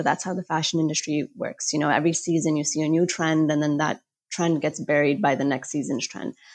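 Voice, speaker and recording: In an American accent, a woman with a plain, everyday voice speaks fairly quickly at a fairly low pitch, on a very clean recording with a silent background. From United States. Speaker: fashion journalist and author. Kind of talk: interview.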